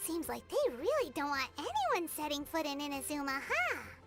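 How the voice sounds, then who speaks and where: In a put-on character voice, the speaker talks at a high pitch and a moderate pace while clear music plays in the background. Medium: game stream. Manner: excitable, inquisitive.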